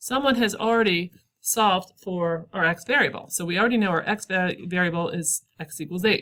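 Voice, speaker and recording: Bright, sharp, medium-pitched speech from a woman at a fairly quick pace, with ordinary pitch variation. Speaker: math teacher. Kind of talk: recorded lesson. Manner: fast; casual with fillers.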